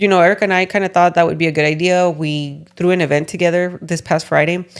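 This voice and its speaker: Very fast speech from a woman with a Spanish accent and a fairly low pitch. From California. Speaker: podcast host. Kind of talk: casual chat.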